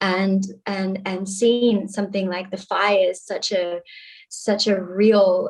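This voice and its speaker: The voice is monotone, with flat intonation. It moves at a very slow pace. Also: woman, medium pitch for a woman. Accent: Australian. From Australia, Sydney. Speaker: activist. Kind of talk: panel discussion.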